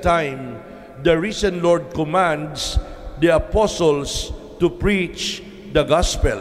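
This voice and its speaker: Speaking at a very slow pace, the man has a high pitch. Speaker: priest. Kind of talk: homily. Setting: church. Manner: earnest, emphatic, rhythmic repetition; formal, teacherly, steady pace. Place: church. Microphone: podium.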